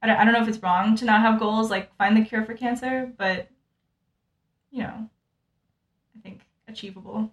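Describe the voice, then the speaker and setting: A somewhat breathy woman speaks at a medium pitch with an American accent. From US, Utah. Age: 20s. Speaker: medical student. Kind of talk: casual chat. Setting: apartment.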